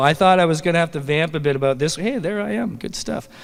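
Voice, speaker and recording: This man has a plain, everyday voice with a Canadian accent. His pitch is fairly high, with ordinary variation. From Canada. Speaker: awards presenter. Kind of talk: awards ceremony presenting. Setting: stage with audience at comic convention.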